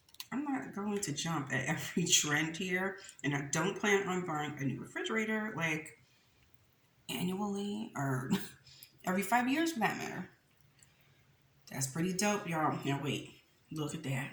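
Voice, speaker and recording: Lively intonation and an animated tone come through long, frequent pauses, along with audible room echo and noticeable background noise. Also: woman, medium pitch for a woman, moderate pace. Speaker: mukbang youtuber. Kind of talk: casual eating chat to camera.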